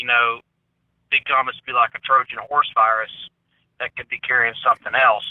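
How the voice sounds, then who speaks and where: A man speaks with a Southern US accent at a moderate pace. He leaves long, frequent pauses. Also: big swings in loudness. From US South. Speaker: conspiracy theory commentator. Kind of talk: casual chat.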